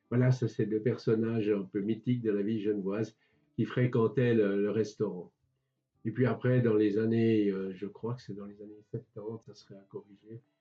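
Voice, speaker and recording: Over music in the background, a man with a fairly low pitch talks at a moderate pace in a monotone, flat intonation, with big swings in loudness. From Switzerland, Geneva. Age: 80s+. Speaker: retired civil servant and local historian. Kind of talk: interview, reminiscing. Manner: hesitant, repeats words.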